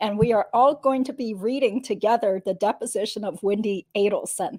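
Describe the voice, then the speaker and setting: A woman speaks at a fairly quick pace and a fairly high pitch. Her tone is dark and mellow, with ordinary pitch variation. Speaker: lawyer. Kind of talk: casual livestream host intro.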